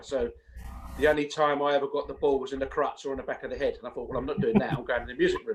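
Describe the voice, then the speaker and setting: A man speaks over noticeable background noise. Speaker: singer and vocal coach. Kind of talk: interview. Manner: casual.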